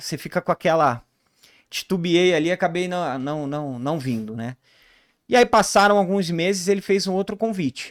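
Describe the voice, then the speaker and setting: A man talks at a fairly quick pace with lively intonation, recorded very cleanly against a silent background with a dry, close sound and no echo. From Rio de Janeiro, Brazil. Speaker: ERP consultant, business co-founder. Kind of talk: podcast interview.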